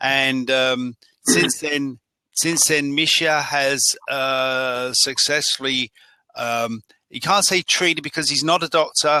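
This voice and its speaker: In a dry, close recording with no echo, a man at medium pitch speaks with a bright, sharp tone and fairly even intonation. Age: 60s. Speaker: interviewer, health lifestyle blogger. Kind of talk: interview. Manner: halting, many fillers and restarts.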